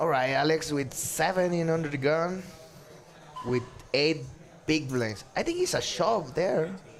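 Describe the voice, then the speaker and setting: With music in the background and audible room echo, a man with a fairly high pitch speaks at a fairly slow pace, pausing long and often, with ordinary pitch variation. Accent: Spanish. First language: Spanish. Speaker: poker player commentator. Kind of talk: live commentary. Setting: commentary booth. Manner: halting.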